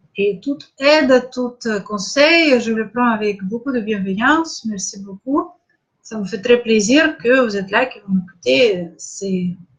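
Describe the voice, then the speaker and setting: A woman's fairly high voice, lively in intonation, at a very slow pace. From Russia, Saint Petersburg. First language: Russian (speaking French). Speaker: spiritual coach. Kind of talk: live online masterclass. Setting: live stream. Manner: halting, many hesitations.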